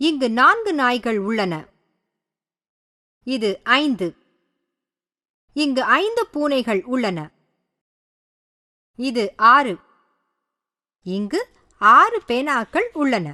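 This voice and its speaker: A woman's raised, projected voice, high in pitch with very wide pitch swings and a bright, sharp tone, comes through in a dry, close sound with no echo. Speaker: voice-over narrator. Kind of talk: children's educational narration.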